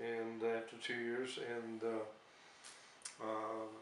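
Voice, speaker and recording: Over noticeable background noise and audible room echo, a man with an American accent speaks at a medium pitch. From US Northeast, Bethlehem, Pennsylvania. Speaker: war veteran. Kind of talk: interview. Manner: halting, many fillers.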